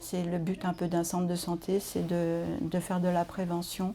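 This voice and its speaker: A woman's fairly low-pitched voice at a moderate pace. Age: 60s. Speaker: nurse. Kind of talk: interview testimony. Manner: hesitant, many fillers.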